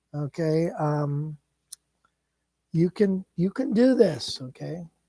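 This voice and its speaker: A man talks very slowly at a high pitch, with lively intonation and a dark, mellow tone. The sound is dry and close, with no echo. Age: 60s. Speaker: guitar teacher. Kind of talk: live stream chat with lesson. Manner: casual, halting with fillers.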